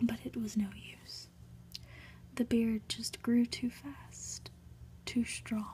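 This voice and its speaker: Soft-spoken whispering at a very slow pace, broken by long, frequent pauses. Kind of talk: read story. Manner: whispered, soft-spoken.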